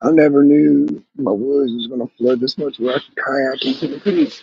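A man talks at a medium pitch and a moderate pace, with fairly even intonation. His voice has vocal fry and a slightly husky edge.

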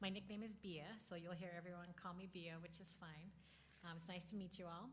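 Soft-spoken and somewhat breathy, a woman talks at a fairly quick pace in a fairly low pitch with monotone, flat intonation, with audible room echo around her. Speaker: school district lawyer. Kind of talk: informal training talk to a board. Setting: in-person board meeting.

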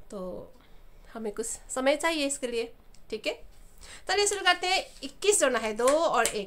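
A woman's high, bright, sharp voice, raised and projected, with very wide pitch swings and a non-native accent. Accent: non-native Hindi. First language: not Hindi (speaking Hindi). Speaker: abacus teacher. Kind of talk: tutorial.

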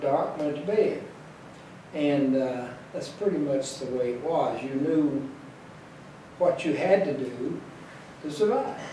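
In an Appalachian accent, a man speaks slowly in a fairly high voice with fairly even intonation, amid light background noise and audible room echo. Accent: Appalachian Kentucky. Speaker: elderly interviewee; interviewee. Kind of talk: interview reminiscence. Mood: calm, nostalgic. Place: home room.

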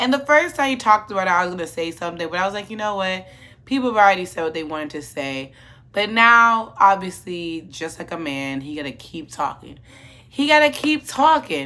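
A woman talks at a fairly quick pace in a bright, sharp tone, her pitch swinging very widely and her loudness rising and falling sharply. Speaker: commentary vlogger. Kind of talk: casual commentary vlog. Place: home room.

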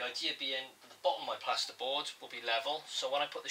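Light background noise runs under the recording. A man speaks at a fairly quick pace. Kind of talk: tutorial. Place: home room. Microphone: camera far.

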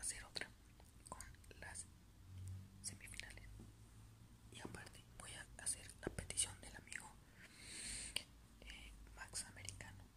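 Soft-spoken and whispering, the speaker moves at a fairly slow pace with long, frequent pauses. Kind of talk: casual commentary. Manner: soft ASMR whisper. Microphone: phone near.

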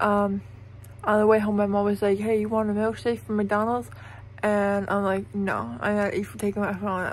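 A woman at a moderate pace, in a dry sound with no echo and light background noise. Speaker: vlogger after dental surgery. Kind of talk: casual vlog chat. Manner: numb swollen mouth, thick drowsy speech. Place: home room. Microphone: phone near.

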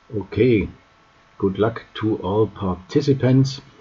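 A man at medium pitch talks at a very slow pace with ordinary pitch variation, noticeable background noise behind him. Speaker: chess news youtuber. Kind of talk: news roundup.

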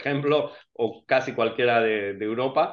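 A man talks at a fairly slow pace with ordinary pitch variation. The background is quiet. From Spain. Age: 40s. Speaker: financially independent investor. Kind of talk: interview. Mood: relaxed, smiling. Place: home room. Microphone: video call.

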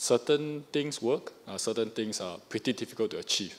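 The man's pitch rises and falls in an ordinary way. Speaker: audience member. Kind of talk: audience Q&A question. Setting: hall with live audience. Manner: halting. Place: hall.

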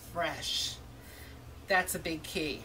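Light background noise beneath a woman talking at a fairly slow pace. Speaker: food vlogger. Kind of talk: casual restaurant review vlog. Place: street. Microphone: camera far.

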